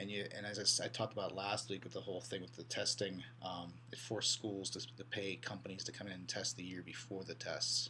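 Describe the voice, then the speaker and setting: A man talks at a fairly quick pace and a fairly low pitch. Audible room echo and noticeable background noise surround him. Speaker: college instructor. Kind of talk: lecture. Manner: fast; halting, many repeated words.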